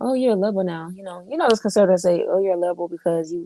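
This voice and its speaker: A woman with a dark, mellow tone, a fairly low pitch, and a Southern accent. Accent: Southern, sounds country. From Florida. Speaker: political commentator. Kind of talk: casual chat.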